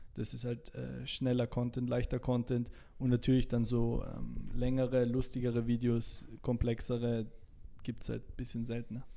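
A man speaks at a moderate pace in a dark, mellow tone. His intonation stays flat and monotone. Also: medium pitch for a man. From Salzburg, Austria. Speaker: TikToker. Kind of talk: casual interview chat.

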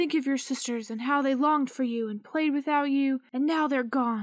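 A female-sounding voice performs a put-on character voice, pitched high for a woman. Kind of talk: solemn ghost-story voice. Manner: grave, slow, coaxing.

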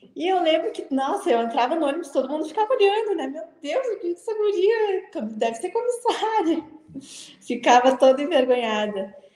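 A woman at an extremely high pitch with very wide pitch swings, a moderate pace and noticeable background noise. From Porto Alegre, southern Brazil. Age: 20s. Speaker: flight attendant. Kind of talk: interview. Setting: live stream.

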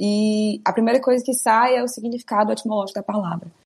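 Somewhat breathy, a woman talks at a fairly quick pace. Her pitch is medium. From Ceará, Brazil. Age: 20s. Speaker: cook. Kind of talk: casual chat.

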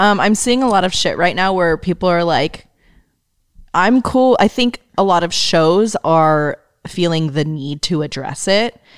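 A woman in a plain, everyday voice talks at a fairly slow pace, her medium pitch showing ordinary pitch variation. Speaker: podcast co-host, graphic designer. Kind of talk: casual chat.

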